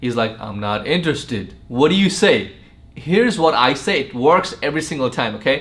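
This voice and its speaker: A loud, animated man, fairly high in pitch, at a fairly quick pace with very wide pitch swings and audible room echo. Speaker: sales trainer. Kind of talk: tutorial.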